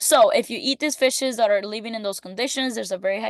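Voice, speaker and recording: No echo colors the dry, close sound. Within it, a woman's pitch varies in an ordinary way. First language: not English. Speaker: student. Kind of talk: class presentation. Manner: casual, hesitant with fillers.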